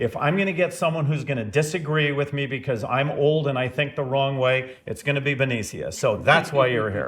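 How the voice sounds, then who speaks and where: A man with an ordinary speaking voice talks at a fairly quick pace, with a fairly high pitch and ordinary pitch variation. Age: 60s. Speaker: podcast host, business owner. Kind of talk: casual chat.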